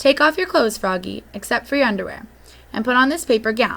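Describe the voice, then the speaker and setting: In a put-on character voice, a woman rattles along at a very fast pace, high-pitched and raspy. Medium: read story.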